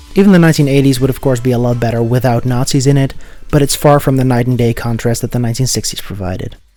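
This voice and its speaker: A man at a very fast pace, medium pitch, ordinary pitch variation, with music in the background. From Netherlands. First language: Dutch. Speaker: video essayist. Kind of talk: video essay narration.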